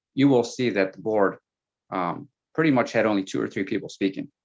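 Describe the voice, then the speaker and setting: The man here has a fairly low pitch. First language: Spanish. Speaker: school board candidate. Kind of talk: panel Q&A answer.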